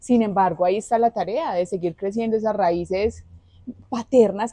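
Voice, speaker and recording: A dark, mellow tone in a paisa accent, at a fairly quick pace. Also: woman. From Colombia, Antioquia (Marinilla, eastern Antioquia). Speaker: social communicator. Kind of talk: interview.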